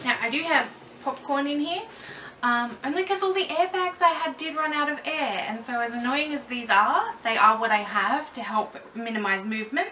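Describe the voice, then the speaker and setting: A raised, projected voice at a moderate pace, with very wide pitch swings over light background noise. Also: woman, high pitch for a woman. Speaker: doll collector vlogger. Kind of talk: casual vlog tutorial. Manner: loud, projecting. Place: home room. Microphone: camera mic far from speaker; camera far.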